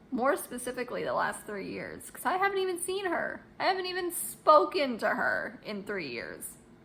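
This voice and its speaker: Over noticeable background noise, the speaker talks at a moderate pace with hardly any pauses, very wide pitch swings and big swings in loudness. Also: woman, high pitch for a woman. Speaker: vlogger. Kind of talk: casual vlog talking to camera. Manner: halting, many fillers and restarts.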